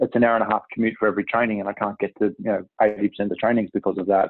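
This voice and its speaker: A man with an Australian accent speaks at a very fast pace. He leaves hardly any pauses. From Melbourne, Australia. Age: 30s. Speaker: sports club president. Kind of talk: casual chat.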